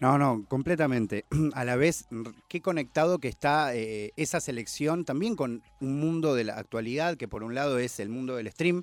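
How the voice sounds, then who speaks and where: An ordinary speaking voice from a man of medium pitch, moderate pace and ordinary pitch variation. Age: 30s. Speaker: hip hop culture commentator. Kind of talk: casual chat.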